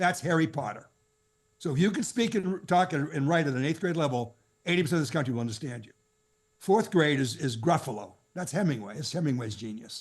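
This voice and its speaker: Against a quiet background, a man with a fairly high, somewhat breathy voice talks at a very fast pace. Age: 70s. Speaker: financial advisor coach. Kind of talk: podcast interview.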